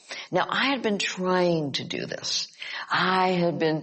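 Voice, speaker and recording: This is a woman speaking with an American accent. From Upstate New York. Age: 80s+. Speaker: psychologist and author. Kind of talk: casual chat. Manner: halting.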